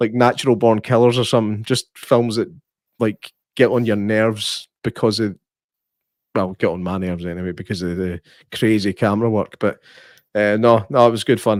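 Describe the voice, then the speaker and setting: A man with a Scottish accent, fairly low pitch, moderate pace, long and frequent pauses and fairly even intonation, in a very clean, dry, close recording with a silent background and no echo. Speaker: podcast host. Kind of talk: casual chat.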